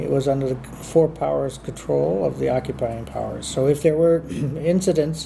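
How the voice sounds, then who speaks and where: A man with an American accent speaks at a medium pitch. His pace is moderate, and background noise is noticeable. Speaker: former diplomat. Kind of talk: interview answer.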